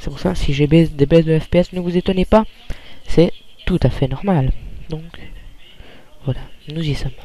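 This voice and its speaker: A man's fairly high voice with fairly even intonation, a moderate pace, long, frequent pauses and noticeable background noise. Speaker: gaming youtuber. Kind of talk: let's play commentary. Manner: quiet, calm; hesitant, many fillers. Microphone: too quiet.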